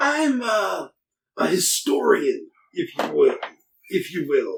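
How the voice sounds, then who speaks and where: A man's raspy, put-on character voice at an extremely high pitch. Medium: actual play. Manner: earnest, measured persuasion.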